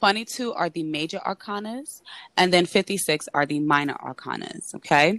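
With an American accent, a woman speaks in an ordinary speaking voice, fairly low in pitch, at a fairly slow pace with lively intonation and a dry, close sound with no echo. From New York City. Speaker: tarot reader. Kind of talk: casual chat.

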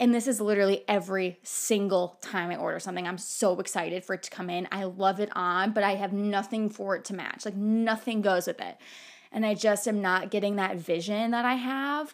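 A woman talks at a moderate pace in a medium pitch, her tone animated. The recording is very clean, with a silent background. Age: 20s. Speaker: solo podcaster. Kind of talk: casual monologue.

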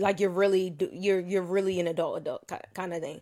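Her pace is fairly quick. The woman speaks at a medium pitch. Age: 20s. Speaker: podcast host. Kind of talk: casual chat. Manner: animated.

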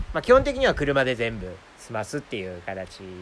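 In a Kansai accent, a man talks at a very fast pace. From Japan, Nara Prefecture (rural). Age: 30s. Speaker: podcaster living in a van, video editor. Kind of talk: casual chat. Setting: outdoors in a forest.

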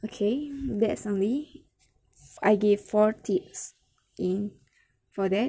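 With a Malaysian accent, a woman talks at a very slow pace with long, frequent pauses, her fairly high, somewhat breathy voice dark and mellow in tone and swinging widely in loudness. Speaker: English learner sharing tips. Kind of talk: casual monologue vlog. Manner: halting.

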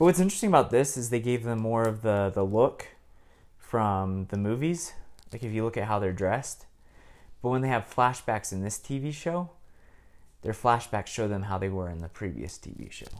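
A man speaks at a moderate pace with lively intonation and a medium pitch. It is an ordinary speaking voice. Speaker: prospective co-host. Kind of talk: casual chat.

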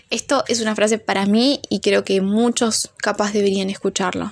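Noticeable background noise sits behind a woman's voice. She speaks at a moderate pace, medium in pitch, with ordinary pitch variation. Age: 20s. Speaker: podcaster and biochemistry student. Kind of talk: casual monologue. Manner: halting, many fillers.

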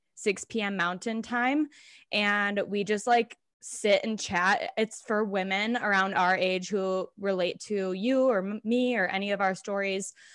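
A woman with an ordinary speaking voice and an American accent speaks fairly slowly at medium pitch with fairly even intonation, on a very clean recording with a silent background. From Minnesota. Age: 20s. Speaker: health coach and yoga instructor. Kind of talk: casual chat.

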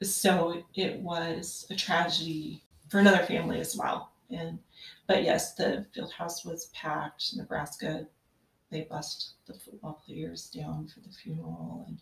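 At a fairly slow pace, a woman with an American accent speaks with big swings in loudness. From western Kansas. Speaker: podcast guest, mother of five. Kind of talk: casual interview.

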